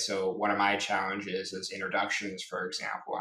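A fairly low-pitched male voice, moderately paced and monotone, with audible room echo. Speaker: corporate employee and stuttering advocate. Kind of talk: interview. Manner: frequent hesitations, uh fillers.

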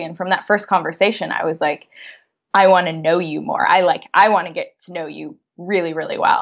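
Speaking at a fairly quick pace, a woman with an American accent holds a medium pitch. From San Francisco, California. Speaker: career and negotiation consultant. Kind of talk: casual chat.

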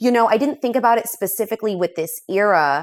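This is an ordinary speaking voice from a woman with an American accent. She talks fairly quickly, with lively intonation. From US West Coast, Los Angeles. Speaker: writer, author. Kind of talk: casual interview.

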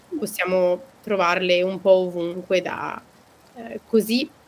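Noticeable background noise runs under the speech. A woman talks at a medium pitch. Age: 20s. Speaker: podcast host. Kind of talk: casual chat, podcast conversation.

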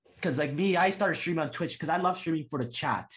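Against a quiet background, a man with a Canadian accent speaks in an animated tone that is somewhat breathy. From Toronto, Canada. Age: 20s. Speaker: Twitch streamer. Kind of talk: casual chat. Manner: fast talker; animated, excitable.

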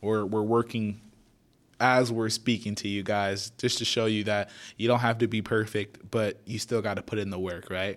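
With an American accent and a fairly low pitch, a man speaks at a moderate pace in a monotone, flat intonation on a very clean recording with a silent background. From Florida, Naples (Haitian family). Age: young. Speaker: podcast host. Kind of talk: casual solo podcast intro.

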